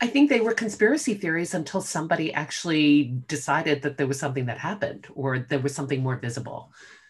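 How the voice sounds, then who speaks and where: A woman with a very deep, low pitch speaks at a very fast pace with hardly any pauses, her lively intonation somewhat breathy. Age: 50s. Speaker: podcast guest, older friend of the host. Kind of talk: casual chat. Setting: video call.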